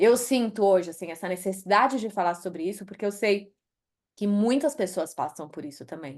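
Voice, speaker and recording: Medium-pitched woman's voice in a Brazilian accent, with ordinary pitch variation and a quiet background. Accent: Brazilian accent when speaking English. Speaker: author and HR executive. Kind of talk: interview.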